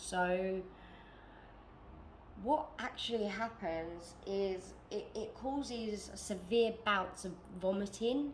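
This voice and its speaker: Audible room echo and noticeable background noise surround a woman speaking with a British accent. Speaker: vlogger. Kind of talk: personal testimony vlog. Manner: laid-back.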